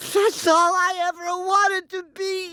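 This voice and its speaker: An extremely high-pitched cartoonish character voice delivers every line in a flat monotone. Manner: excitable.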